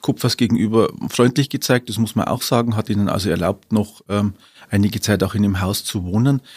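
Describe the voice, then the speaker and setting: On a very clean recording with a silent background, a man speaks in a fairly low voice with fairly even intonation. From Upper Palatinate, Bavaria (Weiden). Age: 50s. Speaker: historian and city archivist. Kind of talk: interview. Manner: hesitant, many filler sounds.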